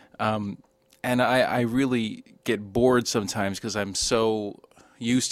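A man in a normal speaking voice, pitched fairly low, with fairly even intonation on a very clean recording with a silent background. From US East Coast, moved around often (New Jersey, Long Island, Texas). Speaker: film podcast guest, coworker of hosts. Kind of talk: casual chat.

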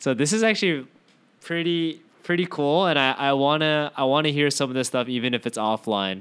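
A man talks at a fairly quick pace with lively intonation. His loudness stays very even. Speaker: podcast host. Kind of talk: casual chat. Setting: remote call.

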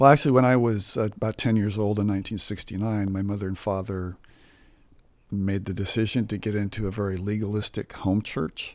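A man with an American accent and a normal speaking voice talks at a fairly quick pace and fairly low pitch, with fairly even intonation, on a very clean recording with a silent background. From Southern California. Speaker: church musician. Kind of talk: testimony.

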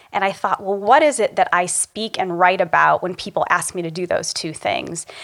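A woman speaks with an American accent in a plain, everyday voice, at medium pitch and a moderate pace. Her intonation stays fairly even. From small-town rural Ohio, US Midwest. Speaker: executive coach. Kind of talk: interview conversation.

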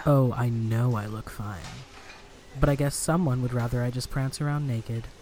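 Clear background noise sits behind a put-on character voice that sounds whiny. The pitch is low-to-middle and the pace moderate. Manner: whiny, petulant, flirty.

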